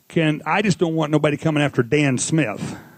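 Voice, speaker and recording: A man with a Missouri accent speaks at a fairly high pitch. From Missouri, US. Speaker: audience member asking a question. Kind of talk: audience Q&A. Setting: live audience. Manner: rambling, informal.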